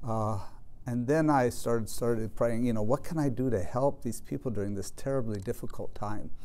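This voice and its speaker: With an American accent, a man talks at a fairly quick pace in a medium pitch, his tone dark and mellow and his pitch varying in an ordinary way. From Colorado. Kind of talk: interview monologue. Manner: halting, many fillers. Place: home room.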